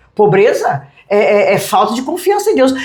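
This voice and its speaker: A woman speaks at a moderate pace with a high pitch and very wide pitch swings. Audible room echo is present. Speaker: pastor. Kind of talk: interview. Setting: restaurant.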